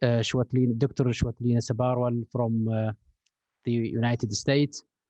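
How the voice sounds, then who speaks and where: With an Arabic accent, a man speaks at a medium pitch and a moderate pace. His tone is dark and mellow, and the sound is dry and close with no echo. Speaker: education researcher and official. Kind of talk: conference presentation. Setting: conference stage with audience. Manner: halting with many fillers.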